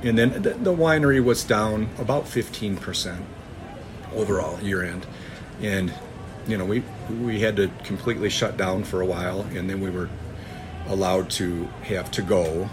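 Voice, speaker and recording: A man with an American accent speaks at a fairly low pitch with ordinary pitch variation, leaving long, frequent pauses. Noticeable background noise and audible room echo fill the recording. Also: moderate pace. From US Midwest (northern Michigan). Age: 50s. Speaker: farmer. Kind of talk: interview. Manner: halting.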